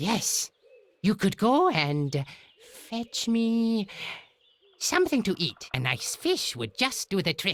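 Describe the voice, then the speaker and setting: Putting on a character voice, a man talks fairly slowly in a high pitch with very wide pitch swings and long, frequent pauses. The sound is dry and close, with no echo. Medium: video game. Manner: pompous, condescending.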